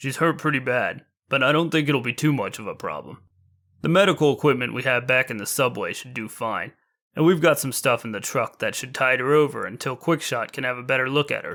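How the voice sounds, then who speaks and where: In a very clean recording over a silent background, a man puts on a gruff, raspy character voice at medium pitch, talking at a fairly quick pace. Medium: read story.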